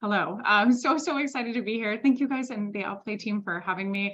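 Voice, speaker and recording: The woman talks at a fairly quick pace. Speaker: sales consultant and founder. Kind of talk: webinar presentation. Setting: Zoom webinar. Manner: fast.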